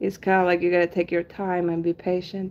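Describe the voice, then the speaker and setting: A woman with a Spanish accent speaks at a medium pitch. Her tone is relaxed. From Argentina. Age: 30s. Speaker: henna artist and livestreamer. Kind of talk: casual livestream chat. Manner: relaxed, many filler ums.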